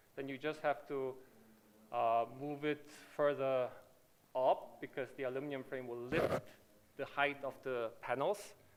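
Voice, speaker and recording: Speech in a Korean accent moves at a fairly slow pace with long, frequent pauses. The intonation is fairly even. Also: man, fairly high pitch for a man. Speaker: company manager presenting at a conference. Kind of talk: conference presentation and Q&A. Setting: conference stage with audience.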